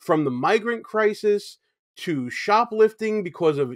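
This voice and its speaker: A man with a Brooklyn accent speaks at a high pitch with lively intonation, the sound dry with no echo and the background quiet. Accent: Brooklyn, New York. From New York City. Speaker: YouTube show host. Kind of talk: commentary. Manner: conversational, opinionated. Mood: critical, indignant. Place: home room.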